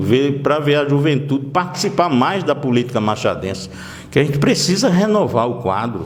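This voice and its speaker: A man's fairly high voice with lively intonation at a fairly slow pace, amid noticeable background noise and audible room echo. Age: 60s. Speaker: local politician. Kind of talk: interview.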